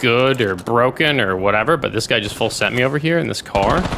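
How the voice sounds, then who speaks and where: Noticeable background noise sits under the voice. The delivery comes at a moderate pace. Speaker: gaming YouTuber. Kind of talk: gameplay commentary. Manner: casual, conversational.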